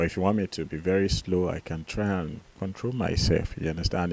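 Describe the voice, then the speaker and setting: A man's very deep, low voice at a fairly quick pace, with ordinary pitch variation. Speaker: piano teacher. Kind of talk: tutorial. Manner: fast.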